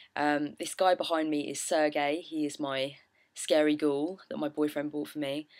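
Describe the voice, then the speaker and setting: A woman's very deep, low voice in a British accent, monotone and flat, at a moderate pace. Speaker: witchcraft vlogger. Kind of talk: casual vlog chat.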